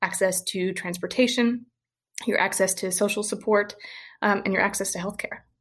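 A somewhat breathy woman's voice, monotone and flat, at a moderate pace with long, frequent pauses. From US South, rural Western Kentucky. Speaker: healthcare data innovator, former molecular biologist. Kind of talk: interview.

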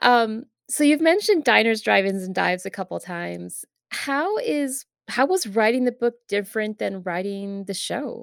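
Speaking at a moderate pace, a woman uses a normal speaking voice at a fairly high pitch with lively intonation. The sound is dry and close, with no echo. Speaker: podcast host. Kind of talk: casual interview chat. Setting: remote recording over web software.

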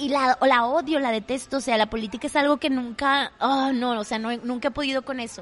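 In a strong Monterrey accent, a woman talks at a fairly quick pace with a high pitch, fairly even intonation, and hardly any pauses. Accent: strong Monterrey (regio) Mexican. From Monterrey, northern Mexico. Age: 20s. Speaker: theatre actress and podcaster. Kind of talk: casual chat. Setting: coffee shop.

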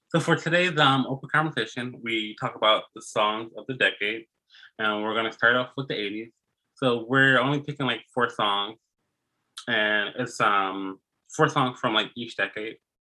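Using a normal speaking voice, a man at medium pitch talks at a moderate pace with ordinary pitch variation. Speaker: podcast host. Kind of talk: casual chat.

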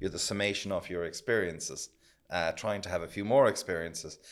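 Speaking with an Irish accent, a man uses a fairly low pitch with ordinary pitch variation. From Ireland. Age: 50s. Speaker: accountant. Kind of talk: casual chat.

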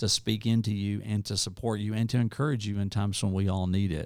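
Fairly low in pitch, a man with an Arkansas accent keeps a fairly even intonation on a very clean recording with a silent background. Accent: Southern US (Arkansas). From US South, rural northeast Arkansas. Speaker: nonprofit leader. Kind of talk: interview. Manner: rambling, hesitant with fillers.

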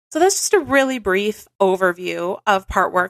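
A woman with a normal speaking voice and a medium pitch is heard on a very clean recording with a silent background and a dry, close sound with no echo. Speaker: hypnotherapist podcast host. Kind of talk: guided hypnosis; intro explaining concept, casual educational talk. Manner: slow, soothing, calm, gentle; measured, rhythmic, hypnotic pacing.

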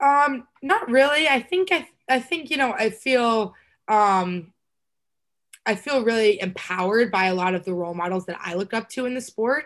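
A plain, everyday voice from a woman with an American accent, fairly high in pitch, lively in intonation, at a moderate pace over a quiet background. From Texas. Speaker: college lacrosse player. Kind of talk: casual interview.

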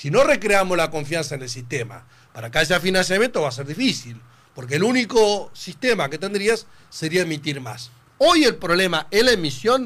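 A man speaks at a high pitch. His voice makes very wide pitch swings. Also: moderate pace. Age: 50s. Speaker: politician. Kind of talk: radio interview. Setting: studio.

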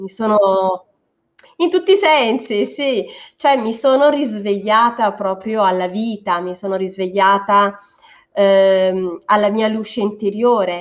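Her medium-pitched voice moves at a very slow pace, and the woman's pitch varies in an ordinary way. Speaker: psychologist and energy psychology practitioner. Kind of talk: interview. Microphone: dropping connection.

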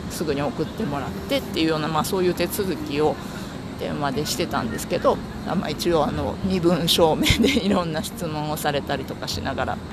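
A man with fairly high pitch and a relaxed tone speaks at a fairly quick pace with ordinary pitch variation, with audible room echo and noticeable background noise. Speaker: podcaster. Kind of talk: casual monologue. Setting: outdoors walking to the office. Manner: relaxed, frequent laughter.

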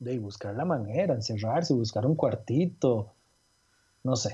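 A man's somewhat breathy voice with a dark, mellow tone at a fairly slow pace. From Costa Rica (Cartago). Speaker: illustrator. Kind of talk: interview conversation. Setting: call.

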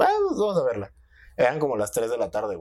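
Moving at a fairly quick pace, a man talks on a very clean recording where the background is silent. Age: 20s. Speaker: podcast host. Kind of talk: casual chat. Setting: studio.

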